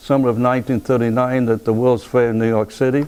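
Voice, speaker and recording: With a Rhode Island accent, a man speaks at a medium pitch in a dark, mellow tone and monotone, flat intonation. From US Northeast, Pawtucket, Rhode Island. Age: 90s. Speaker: war veteran. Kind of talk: oral history interview. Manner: halting, repeats words.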